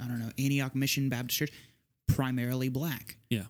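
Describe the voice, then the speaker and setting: Speaking at a very fast pace, a man with an American accent has a medium pitch. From Southeast Texas. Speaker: podcast guest. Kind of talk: casual discussion.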